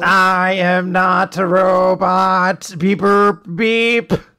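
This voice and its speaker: Using a put-on character voice at middle pitch, the speaker drawls very slowly in a flat monotone. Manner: beeping, staccato.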